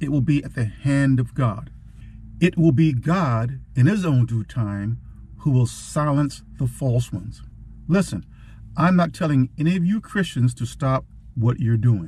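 Somewhat breathy and dark, mellow in tone, a man speaks at a fairly slow pace with lively intonation in a dry sound with no echo. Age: old. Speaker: war veteran. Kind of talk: casual talk to camera. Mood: firm, defiant. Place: car. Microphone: phone near.

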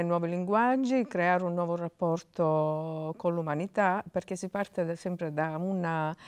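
A woman speaks at a very slow pace, her fairly low voice moving with ordinary pitch variation. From Sicily. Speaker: playwright. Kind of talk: interview; interview answer. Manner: halting. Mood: thoughtful, earnest. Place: hall.

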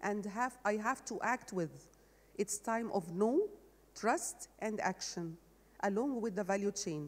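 Speaking with an Arabic accent, a woman uses lively intonation at a fairly high pitch and fairly slow pace. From Egypt. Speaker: agricultural development manager; panelist. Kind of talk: panel discussion; panel discussion answer. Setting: stage with audience. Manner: halting. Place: stage. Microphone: handheld.

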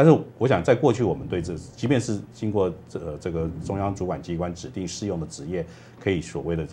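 Over light background noise, a man with a very deep, low pitch talks at a very fast pace in a somewhat breathy, dark and mellow tone with lively intonation. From Taiwan. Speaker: labor studies professor; guest. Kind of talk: TV panel discussion. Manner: halting, many fillers. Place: studio.

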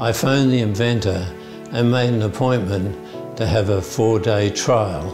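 With clear music playing behind him, a man speaks at a moderate pace in a fairly low voice. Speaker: Parkinson's patient. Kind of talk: testimonial to camera. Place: office. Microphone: lapel.

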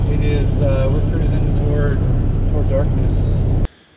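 Loud background noise fills the clip. Through it, a man with an American accent speaks at a moderate pace. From California. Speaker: travel vlogger. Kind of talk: casual chat. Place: car. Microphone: camera far.

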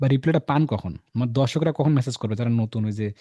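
A man with a medium pitch and a dark, mellow tone talks somewhat breathily, with ordinary pitch variation, in a dry, close sound with no echo. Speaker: online course instructor and channel host. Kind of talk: sales pitch; interview.

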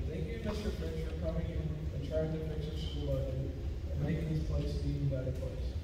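Someone speaks at a moderate pace amid loud background noise and audible room echo. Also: man. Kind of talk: graduation speech. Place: hall.

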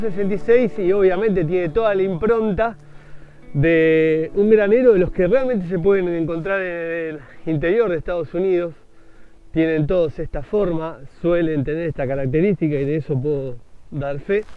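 Over faint background music, a man speaks at a moderate pace with a high pitch and ordinary pitch variation. The sound is dry, with no echo. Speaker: motovlogger. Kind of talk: casual vlog commentary. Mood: enthusiastic, admiring. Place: street. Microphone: phone near.

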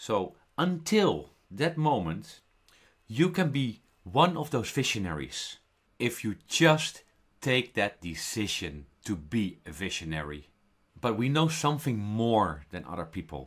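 A man's fairly low, vocal-fried voice with a Dutch accent, very wide pitch swings and a very slow pace, on a very clean recording with a silent background. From Netherlands. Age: 40s. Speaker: network marketer. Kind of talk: sales pitch.

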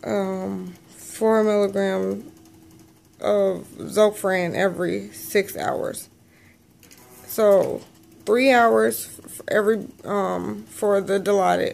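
A woman speaks at a very slow pace, her loudness swinging widely. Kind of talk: casual vlog chat. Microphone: phone near.

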